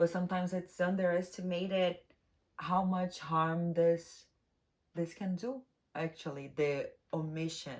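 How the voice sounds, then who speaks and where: A woman speaks with a non-native accent. Her pitch is fairly low and her pace very slow. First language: not English. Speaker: tarot reader. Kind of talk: tarot reading monologue. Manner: casual, halting at times.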